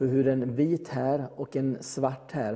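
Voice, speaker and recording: With a dark, mellow tone, a man talks at a mid-range pitch. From Gothenburg, Sweden. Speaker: electrician. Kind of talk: interview testimony.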